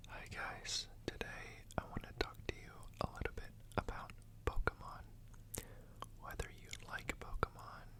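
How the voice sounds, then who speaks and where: At a moderate pace, a calm whisper comes through noticeable background noise. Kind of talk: ASMR whispered talk about a card collection. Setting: studio, close microphone with card and page sounds. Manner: whispered, soft-spoken, calm.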